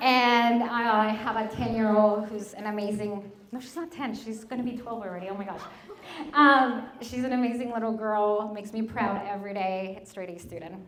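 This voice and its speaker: In a room with audible echo, a woman with a Spanish accent and a fairly high pitch talks at a moderate pace with fairly even intonation and big swings in loudness. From Mexico. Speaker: mortgage broker and business owner. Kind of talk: presentation to an audience.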